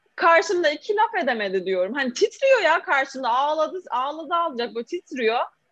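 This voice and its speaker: Bright and sharp in tone, a woman's high voice moves through very wide pitch swings. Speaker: social media influencer and food content creator. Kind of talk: casual interview chat. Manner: animated.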